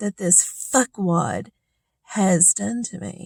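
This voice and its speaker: A woman talks at a very slow pace with lively intonation, in a dry, close sound with no echo. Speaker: vlogger sharing personal experiences. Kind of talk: personal vlog monologue. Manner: loud; animated.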